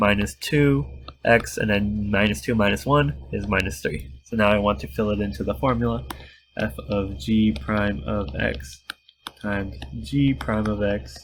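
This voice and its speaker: A somewhat breathy man's voice, fairly low, with very wide pitch swings and long, frequent pauses. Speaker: math tutor. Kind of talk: tutorial.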